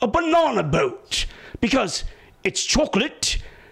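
A man performs a cartoonish character voice. He speaks at a fairly slow pace. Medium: puppet show. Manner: wordy, fussy, explaining.

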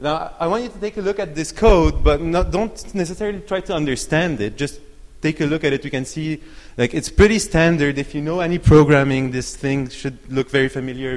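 At a moderate pace, a man speaks with ordinary pitch variation. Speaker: conference presenter. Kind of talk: lecture. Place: hall. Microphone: handheld.

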